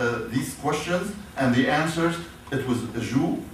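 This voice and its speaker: A man with an Arabic accent at a fairly slow pace, noticeable background noise and audible room echo. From Syria, Damascus. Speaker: professor. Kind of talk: lecture. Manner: halting.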